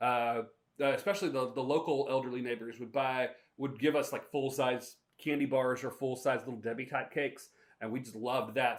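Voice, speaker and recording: Here a man uses a normal speaking voice with an American accent. His pitch is medium and his pace fairly quick. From US South, North Carolina (Shelby area). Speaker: podcast host and minister. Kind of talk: casual storytelling monologue.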